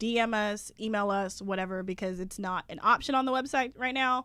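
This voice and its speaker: Loud and fairly quick, a woman speaks at fairly high pitch with ordinary pitch variation and a bright, sharp tone, in a very clean recording with a silent background. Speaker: podcast co-host. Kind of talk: casual chat. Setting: podcast recording with headphones.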